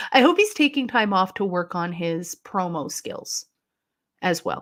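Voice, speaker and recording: A woman with a Canadian accent, a normal speaking voice, a medium pitch and lively intonation, at a fairly slow pace in a very clean recording with a silent background. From Canada. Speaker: wrestling livestreamer. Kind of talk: casual live-stream commentary reading chat. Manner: casual, chatty.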